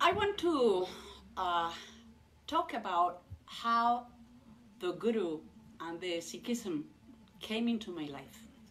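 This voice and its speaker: Speaking very slowly, a woman at medium pitch leaves long, frequent pauses. Her pitch swings very widely, her loudness shifts a lot, and background noise is noticeable. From Mexico (Mexico City). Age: 60s. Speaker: Sikh convert giving a talk. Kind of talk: personal testimony. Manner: halting with many fillers.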